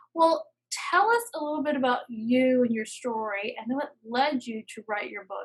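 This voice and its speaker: A woman with an American accent speaks at a high pitch. Her intonation is lively and her pace moderate. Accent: Southern US, stronger when tired. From US South. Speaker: podcast host, writing coach. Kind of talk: interview.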